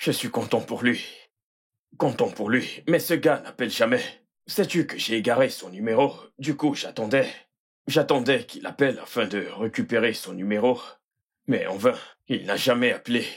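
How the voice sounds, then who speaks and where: In a raspy, put-on character voice, the speaker goes at a moderate pace with long, frequent pauses and ordinary pitch variation, on a very clean recording with a silent background. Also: man, medium pitch for a man. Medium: fan dub. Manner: warm, relaxed.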